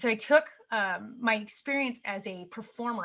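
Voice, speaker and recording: The tone here is bright and sharp. It comes from a woman. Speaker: media coach and TV host. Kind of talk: presentation. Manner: fast.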